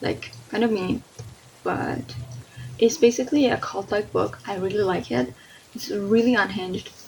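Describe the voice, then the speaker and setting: Against noticeable background noise, a woman with a non-native accent speaks at a moderate pace. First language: not English. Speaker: book reviewer. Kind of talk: casual video review. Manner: animated.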